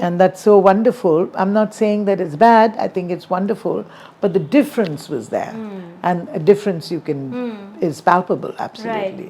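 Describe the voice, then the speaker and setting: Noticeable background noise sits under a woman's voice with ordinary pitch variation. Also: medium pitch for a woman, moderate pace. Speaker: singer. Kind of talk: interview answer.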